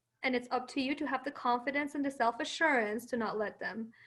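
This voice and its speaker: Speaking at a very fast pace with a Persian accent, a woman keeps her high pitch in fairly even intonation. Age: 20s. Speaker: marketing professional and lawyer. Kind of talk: webinar interview.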